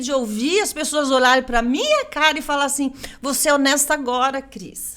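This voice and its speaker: A woman projects a raised, high voice with a bright, sharp tone and an animated delivery. Her loudness swings widely, her pitch varies in an ordinary way and her pace is moderate. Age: 60s. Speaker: political candidate. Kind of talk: interview.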